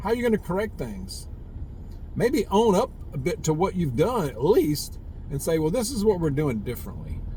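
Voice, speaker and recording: This man has a Southern US accent and a high voice with a dark, mellow tone. He talks at a moderate pace, and his pitch swings very widely. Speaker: prepper vlogger. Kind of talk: casual monologue vlog. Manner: halting, repetitive fillers.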